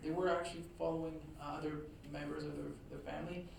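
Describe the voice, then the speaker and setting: The speaker has a Quebec accent. There is noticeable background noise. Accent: Québécois French accent in English. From Quebec, Trois-Rivières. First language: French. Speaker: author and historian. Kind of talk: lecture. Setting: talk to a live audience. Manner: hesitant, many fillers.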